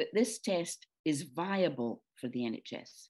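In a Scottish accent, a dark, mellow tone moves at a very slow pace with very wide pitch swings. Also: woman. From Scotland, Dundee. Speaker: retired nurse. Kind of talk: interview. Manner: halting.

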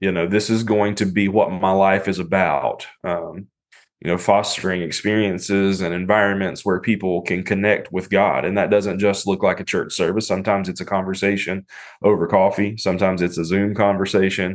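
A man with an American accent speaks at a fairly quick pace with a fairly low pitch and monotone, flat intonation. The background is quiet. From US South, mountains of western North Carolina. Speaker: pastor and author. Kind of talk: casual interview chat.

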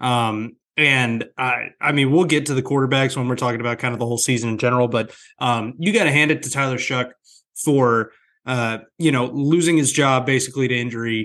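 A man with a normal speaking voice, medium pitch, fairly quick pace and fairly even intonation against a quiet background. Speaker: sports podcast host. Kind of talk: casual chat.

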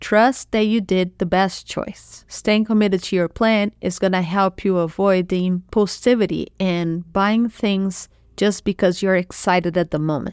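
With a Portuguese accent, a woman speaks at medium pitch with fairly even intonation and hardly any pauses, recorded very cleanly over a silent background. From Brazil. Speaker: podcast host, money coach. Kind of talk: solo podcast tutorial.

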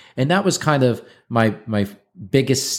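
A man's normal speaking voice at a moderate pace with ordinary pitch variation. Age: 30s. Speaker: longevity company founder. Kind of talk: interview.

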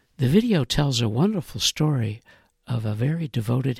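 A somewhat breathy man with an American accent, fairly quick pace and ordinary pitch variation, in a dry, close sound with no echo and a very clean recording with a silent background. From Illinois (Chicago area, Rockford). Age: 70s. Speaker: podcast writer and producer. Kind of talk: scripted narration.

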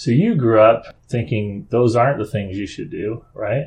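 A man speaks at medium pitch. His voice is somewhat breathy, and his pace is moderate. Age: 50s. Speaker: podcast host, father of seven. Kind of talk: casual interview chat.

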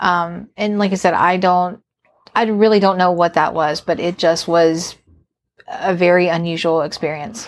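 A woman with an American accent has a normal speaking voice. She talks at a moderate pace with fairly even intonation. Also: fairly low pitch for a woman. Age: 40s. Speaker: podcast guest, host's wife. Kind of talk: casual interview, recounting a story.

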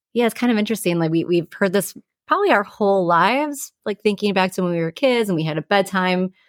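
On a very clean recording with a silent background, a woman talks very fast at a medium pitch with ordinary pitch variation. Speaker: mental health counselor, podcast co-host. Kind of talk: casual educational discussion.

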